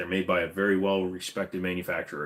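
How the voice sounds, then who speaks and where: A man with a very deep, low pitch at a moderate pace, on a very clean recording with a silent background. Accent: slight Minnesota. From upper Midwest US.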